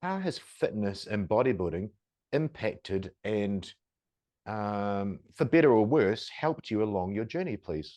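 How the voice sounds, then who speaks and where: Over a quiet background, a man with a fairly low pitch and a dark, mellow tone talks fairly slowly with lively intonation. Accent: New Zealand. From New Zealand. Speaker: podcast host. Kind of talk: podcast interview.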